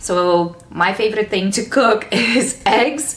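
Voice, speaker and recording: Very slow speech from a woman, fairly high in pitch, with ordinary pitch variation amid noticeable background noise. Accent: Romanian. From Romania (Sibiu, Transylvania). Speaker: wellness coach and cooking teacher. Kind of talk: interview.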